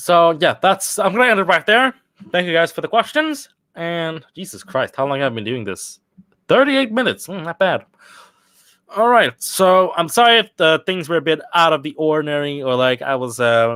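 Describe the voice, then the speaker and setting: On a very clean recording with a silent background, a man with a high, bright, sharp voice talks at a moderate pace, his pitch swinging very widely. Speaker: YouTube creator. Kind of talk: casual chat. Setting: home office video chat. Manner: rambling, halting.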